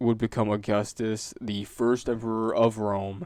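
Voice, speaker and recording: At a very slow pace, a man of medium pitch talks in a monotone, flat intonation. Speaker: student. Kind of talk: class presentation. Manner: halting.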